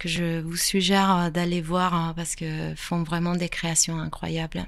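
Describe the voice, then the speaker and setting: A woman speaks with an Italian accent in a fairly low pitch. Her intonation stays monotone and flat. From Italy. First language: Italian (speaking French). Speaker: photographer. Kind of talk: interview.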